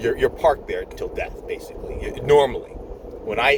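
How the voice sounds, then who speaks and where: Background noise can be clearly heard. The voice keeps to a medium tempo. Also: man. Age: 50s. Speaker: nurse. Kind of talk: casual chat. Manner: rambling, repetitive. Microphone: poor sound quality.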